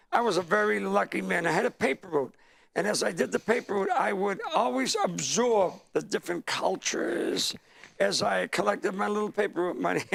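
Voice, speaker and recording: A man with an American accent talks at a fairly quick pace. Noticeable background noise is present. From Lynn, Massachusetts (Boston area). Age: 70s. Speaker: stand-up comedian. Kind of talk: interview.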